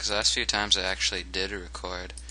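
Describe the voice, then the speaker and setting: The voice has a bright, sharp tone with vocal fry and moves at a moderate pace. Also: man. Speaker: let's play gaming commentator. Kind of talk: casual, profane, joking. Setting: recording alone at computer, music playing.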